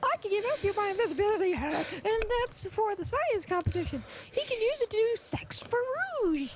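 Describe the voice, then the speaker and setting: Using a put-on character voice, a man speaks at an extremely high pitch and a moderate pace over clear background noise. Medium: game stream.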